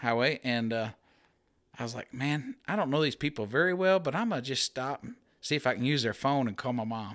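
A man with a Missouri accent speaks in a bright, sharp tone with ordinary pitch variation. The recording is very clean, with a silent background. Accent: rural Missouri, Midwestern. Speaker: hunter. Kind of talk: casual chat.

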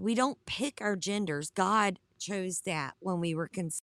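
A woman with a Southern US accent speaks at a fairly slow pace and medium pitch, with ordinary pitch variation. The recording is very clean, with a silent background and a dry, close sound with no echo. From US South. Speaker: online Bible study host. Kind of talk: livestream Bible study with chat. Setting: live stream.

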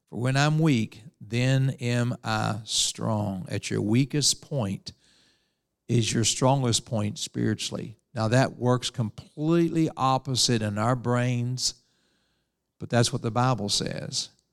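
With an Appalachian accent, a man talks at a very slow pace in a medium pitch with ordinary pitch variation, captured in a very clean recording with a silent background and a dry, close sound with no echo. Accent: Appalachian US Southern. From West Virginia. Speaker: preacher. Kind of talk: sermon.

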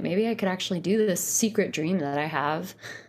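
In a very clean recording with a silent background, a woman with an American accent speaks at a moderate pace and medium pitch in an ordinary speaking voice. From US Northeast (Poughkeepsie, New York). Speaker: folk singer and songwriter. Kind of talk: casual interview.

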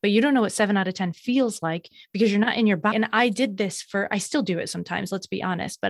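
A woman talks in an ordinary speaking voice at medium pitch, with ordinary pitch variation. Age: 30s. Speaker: burnout recovery coach. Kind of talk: interview.

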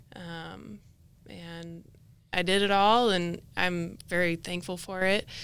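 A woman with an American accent, fairly low-pitched and fairly even in intonation, an unremarkable speaking voice. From Idaho, US. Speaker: former college golfer. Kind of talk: interview.

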